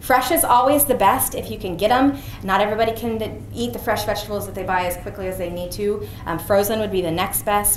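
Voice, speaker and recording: Amid audible room echo and noticeable background noise, a woman talks at a very fast pace with lively intonation. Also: medium pitch for a woman. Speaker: physician giving a health talk. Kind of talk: presentation to an audience.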